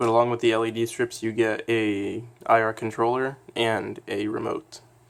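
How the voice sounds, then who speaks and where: A man talks in a monotone, flat voice at a medium pitch and a moderate pace. Noticeable background noise sits behind him. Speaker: DIY electronics hobbyist. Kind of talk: casual tutorial talk to camera.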